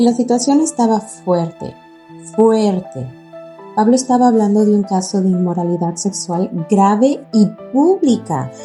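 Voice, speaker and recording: With music in the background, a woman speaks at a fairly slow pace, her intonation lively and her loudness very even. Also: medium pitch for a woman. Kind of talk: contemplative podcast reflection. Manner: conversational, casual, reflective.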